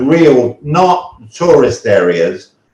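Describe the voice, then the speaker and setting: A man is speaking. He has a British accent. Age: 70s. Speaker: retiree who moved abroad. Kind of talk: interview storytelling.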